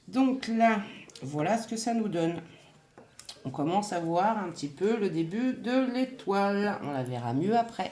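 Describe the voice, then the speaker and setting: With lively intonation, a woman at a medium pitch speaks at a very slow pace while the room echo is audible. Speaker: crochet and scrapbooking youtuber. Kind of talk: tutorial.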